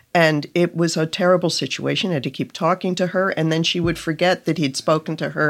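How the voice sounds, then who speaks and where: At a fairly quick pace, a normal speaking voice comes through on a very clean recording with a silent background. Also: woman. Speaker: journalist and staff writer.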